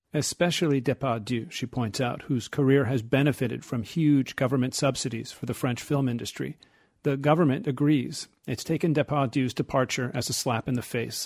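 A man talks at a fairly quick pace with a plain, everyday voice. His pitch is medium, his intonation fairly even, and the sound is dry and close with no echo. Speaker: radio reporter. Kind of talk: scripted news report.

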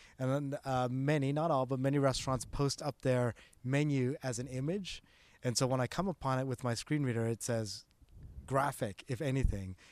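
An ordinary speaking voice with a Canadian accent moves at a moderate pace with ordinary pitch variation. The recording is very clean with a silent background, and the sound is dry and close with no echo. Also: man, medium pitch for a man. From Canada, Toronto area. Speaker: digital accessibility expert. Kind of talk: interview.

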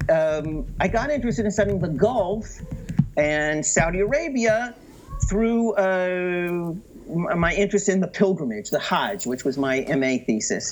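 The man has an American accent and a high pitch. He talks at a fairly slow pace. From US, San Francisco Bay Area. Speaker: professor of Middle East studies. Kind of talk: academic interview. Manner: halting, many fillers and repetitions.

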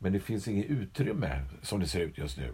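A man's fairly low-pitched voice with vocal fry, at a moderate pace. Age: old. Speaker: podcast co-host. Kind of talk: casual chat.

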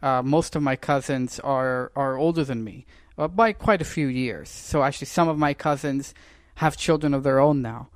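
In a very clean recording with a silent background, a man with a plain, everyday voice and fairly high pitch speaks at a moderate pace with ordinary pitch variation. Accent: Canadian. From Canada. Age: 20s. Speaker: political commentator. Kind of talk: casual interview chat.

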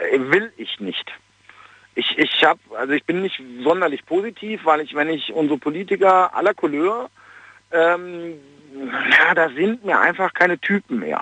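A man talks at a high pitch with ordinary pitch variation. His pace is fairly slow, broken by long, frequent pauses. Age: 40s. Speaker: caller. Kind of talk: phone-in opinion. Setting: phone call.

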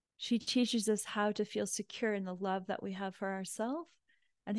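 Against a quiet background, a woman speaks with fairly even intonation. She has an unremarkable speaking voice and a medium pitch. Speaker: spiritual teacher leading online prayer group. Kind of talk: guided prayer invocation, devotional and meditative, with call-and-response affirmations; casual welcome chat then spiritual talk. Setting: online live group call. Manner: gentle, reverent, slow and soothing; warm, heartfelt, inviting the audience to repeat affirmations.

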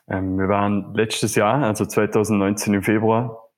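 A man speaks at a fairly slow pace in a fairly low pitch, with a plain, everyday voice. The recording is very clean, with a silent background. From Vorarlberg, Austria. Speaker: community manager, travel guest. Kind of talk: casual interview.

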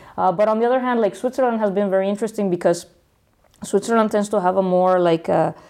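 Her dark, mellow voice races along very fast, the woman keeping her loudness very even and her intonation fairly even. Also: medium pitch for a woman. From Mexico, Guadalajara. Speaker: startup founder and engineer. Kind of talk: casual interview.

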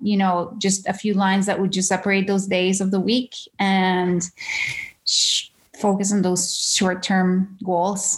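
The background is silent and the recording very clean. Her pitch sits in the medium range, and the speaker is a woman. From Venezuela (Caracas). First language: Spanish. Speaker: creative director. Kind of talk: interview conversation. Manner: halting, with repeated words.

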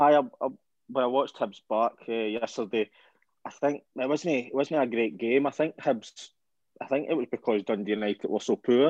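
A man with a Scottish accent speaks at a moderate pace in a medium pitch, with ordinary pitch variation and a dry, close sound with no echo. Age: 20s. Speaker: football podcast co-host. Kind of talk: casual chat.

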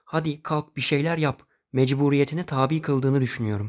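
With an ordinary speaking voice, a man talks at a moderate pace and fairly high pitch, the sound dry and close with no echo in a very clean recording over a silent background. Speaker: podcast host. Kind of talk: personal monologue podcast.

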